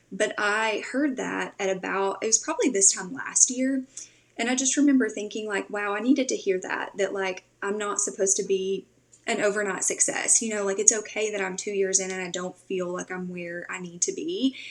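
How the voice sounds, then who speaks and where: With a Tennessee accent, this voice moves at a moderate pace with ordinary pitch variation against noticeable background noise. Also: woman, medium pitch for a woman. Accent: Southern US (Tennessee). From Tennessee, US South. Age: 20s. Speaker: podcast host and social media strategist. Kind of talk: podcast interview. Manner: casual, filler-heavy.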